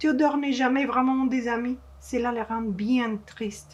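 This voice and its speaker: Speaking at a fairly slow pace, a woman with a Spanish accent has a high-pitched voice. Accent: Spanish-accented French, non-native. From Mexico. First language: Spanish (speaking French). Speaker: children's author and illustrator. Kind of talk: reading aloud to children. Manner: halting, with hesitations.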